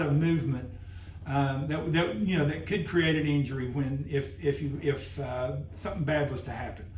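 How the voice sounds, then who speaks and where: A man speaks at a moderate pace, and room echo is audible. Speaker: driver safety trainer. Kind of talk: workplace safety meeting presentation. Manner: halting, many fillers; talking loud.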